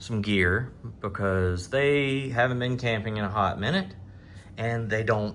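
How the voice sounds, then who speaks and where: Speaking at a very slow pace, a man with a strong Southern US accent has a fairly low pitch, ordinary pitch variation and a bright, sharp tone, with audible room echo around him. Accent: thick Southern. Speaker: outdoors vlogger. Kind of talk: casual gear walkthrough vlog. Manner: casual, hesitant with many fillers.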